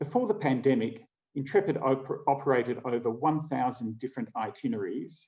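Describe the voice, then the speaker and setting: The voice carries an Australian accent and a dark, mellow tone. Its intonation is lively, and the pace is fairly quick. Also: man. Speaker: travel company co-founder. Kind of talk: keynote presentation.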